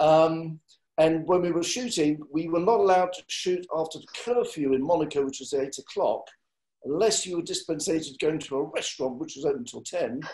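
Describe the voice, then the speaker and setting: Speaking with an English accent, a man with fairly high pitch and ordinary pitch variation shows big swings in loudness. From England. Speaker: film line producer. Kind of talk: panel discussion.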